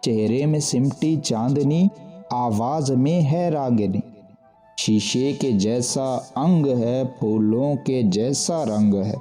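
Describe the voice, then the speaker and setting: A man's medium-pitched voice with ordinary pitch variation over music in the background. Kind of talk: poetry reading.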